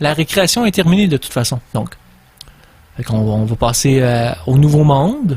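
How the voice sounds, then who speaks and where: A man speaks at a moderate pace with a Quebec accent. His tone is dark and mellow, and his voice is somewhat breathy. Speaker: radio host. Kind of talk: radio monologue. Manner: halting.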